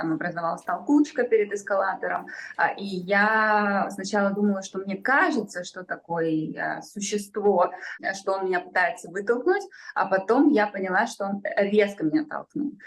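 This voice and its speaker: This woman has a normal speaking voice at medium pitch, with a moderate pace and ordinary pitch variation. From St Petersburg, Russia. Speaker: journalist and activist. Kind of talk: interview testimony.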